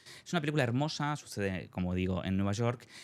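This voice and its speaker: A man with an Argentine accent talks at a very fast pace. His fairly low voice has lively intonation. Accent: Argentine accent picked up. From Spain, Madrid. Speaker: novelist and theatre maker. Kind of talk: interview. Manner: hesitant, many fillers.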